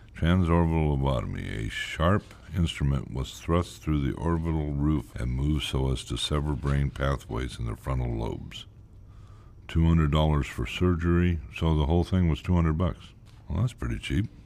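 Amid noticeable background noise, a man with a very deep, low pitch speaks with ordinary pitch variation. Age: 50s. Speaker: lobotomy patient and narrator. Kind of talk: first-person documentary narration.

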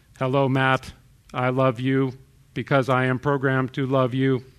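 In a put-on character voice, a man talks at a moderate pace and medium pitch, sounding robotic with monotone, flat intonation.

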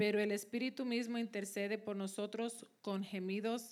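A woman with an unremarkable speaking voice talks at a moderate pace and a medium pitch, her intonation fairly even. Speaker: scripture reader. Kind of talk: reading aloud.

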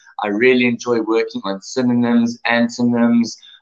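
A man with a South African accent. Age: 30s. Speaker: online English teacher. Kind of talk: self-introduction video. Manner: halting, many fillers.

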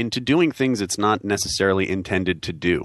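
A man talks at a fairly low pitch with very wide pitch swings. The background is quiet. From New York. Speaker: network security engineer, panel regular. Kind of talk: technical panel discussion. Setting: studio.

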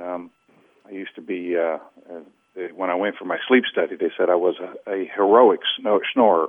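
With an American accent, a man talks at a moderate pace. His loudness swings widely. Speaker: program client sharing weight-loss story. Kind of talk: phone-in testimony. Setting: phone call. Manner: halting, repeats words with many fillers.

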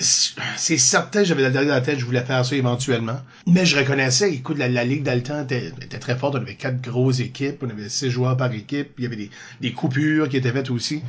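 A man speaks very fast in a medium pitch, somewhat breathy, with ordinary pitch variation. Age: 40s. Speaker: improviser and drama teacher. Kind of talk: casual chat.

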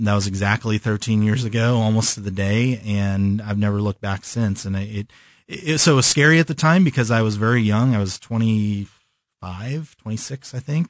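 A man with an American accent speaks at a moderate pace with hardly any pauses, in fairly low pitch and ordinary pitch variation. It is an ordinary speaking voice, set against a quiet background. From California. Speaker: design studio owner. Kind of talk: interview.

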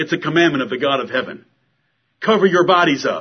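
A man speaks with a high voice, and his pitch moves in an ordinary way. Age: 40s. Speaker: pastor. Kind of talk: sermon. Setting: church. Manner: animated.

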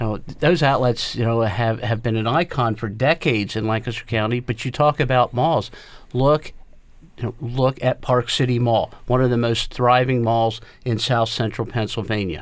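A man with an ordinary speaking voice, medium pitch, ordinary pitch variation, and a moderate pace. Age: 60s. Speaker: retail trade association head. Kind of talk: radio panel discussion.

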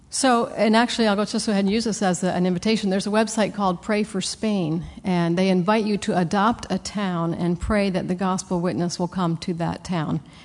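Her delivery has hardly any pauses and fairly even intonation. A woman with a medium pitch and a plain, everyday voice. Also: fairly quick pace. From US, Pennsylvania-born, raised in South America. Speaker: missionary. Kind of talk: mission talk with slides. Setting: stage with audience.

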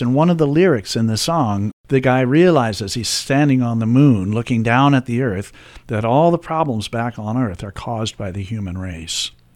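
This is an unremarkable speaking voice from a man with an American accent. He talks at a moderate pace. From Washington, D.C. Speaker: musician and composer. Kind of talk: radio interview.

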